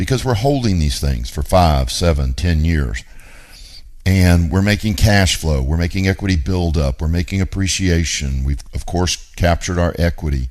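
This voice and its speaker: Speaking at a moderate pace, a man uses a very deep, low pitch with lively intonation. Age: 50s. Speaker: radio show host, real estate investor. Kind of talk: talk radio monologue.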